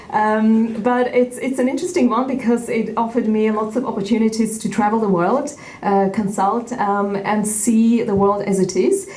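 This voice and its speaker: Speech at a moderate pace with hardly any pauses and ordinary pitch variation comes through noticeable background noise and audible room echo. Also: woman, fairly high pitch for a woman. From Uzbekistan, Central Asia. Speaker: tech educator and activist. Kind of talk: keynote speech. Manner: halting, many fillers.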